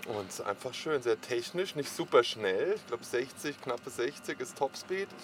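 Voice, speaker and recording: Using an ordinary speaking voice, a man talks at a fairly slow pace with hardly any pauses, a fairly high pitch and lively intonation. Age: 40s. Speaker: helmet maker and skater. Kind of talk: casual interview.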